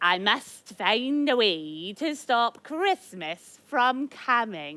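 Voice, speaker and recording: Putting on a growling character voice, a woman talks at a very slow pace with hardly any pauses, her fairly high pitch making very wide swings. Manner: growling, snarling.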